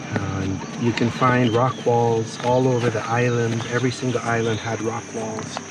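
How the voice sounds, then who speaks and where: The speech runs at a moderate pace with hardly any pauses and monotone, flat intonation, with audible room echo and noticeable background noise. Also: man, medium pitch for a man. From Jamaica. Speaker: organic gardener. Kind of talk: tutorial; interview.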